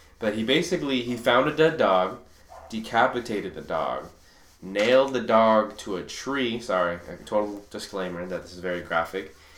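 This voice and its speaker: There is audible room echo around a man's voice. His loudness swings a lot. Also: medium pitch for a man, lively intonation, moderate pace. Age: 20s. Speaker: true crime podcast host. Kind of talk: casual chat.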